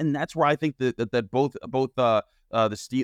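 A man with a fairly high voice speaks at a very fast pace. Behind him the background is quiet. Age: 30s. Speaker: sports journalist and podcast host. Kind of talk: podcast interview.

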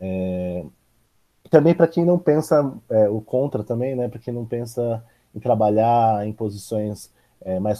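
A man's fairly low voice with a dark, mellow tone. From São Paulo state, Brazil (São José dos Campos). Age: 20s. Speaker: university economics student. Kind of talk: casual interview.

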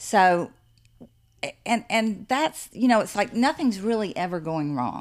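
Against a silent background on a very clean recording, a woman talks at a moderate pace. She has an unremarkable speaking voice with lively intonation. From US South. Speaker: author and artist. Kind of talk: casual interview. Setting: in person on location.

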